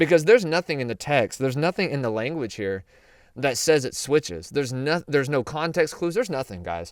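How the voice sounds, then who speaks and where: An animated man with a Southern US accent, fairly quick pace and very wide pitch swings, on a very clean recording with a silent background. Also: fairly high pitch for a man. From US South. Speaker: Bible prophecy teacher. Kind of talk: Bible teaching. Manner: casual, animated.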